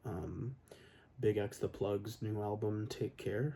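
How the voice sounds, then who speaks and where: Soft-spoken and somewhat breathy, a man speaks at a very slow pace. His voice sits at medium pitch with a dark, mellow tone and ordinary pitch variation. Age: 20s. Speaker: electronics repair technician. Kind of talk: ASMR Q&A, soft-spoken talk to camera.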